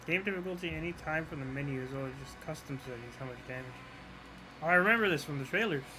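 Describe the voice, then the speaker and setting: A man with a bright, sharp tone and fairly high pitch, at a very fast pace, with ordinary pitch variation, big swings in loudness, and audible room echo. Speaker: gamer streamer. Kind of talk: gameplay commentary. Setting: live stream. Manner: soft-spoken.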